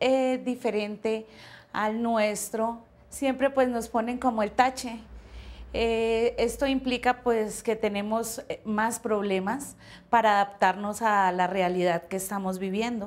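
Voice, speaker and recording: In a very clean recording with a silent background, a woman speaks very slowly with fairly high pitch and ordinary pitch variation. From Colombia. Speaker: migrant interviewee. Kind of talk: testimony.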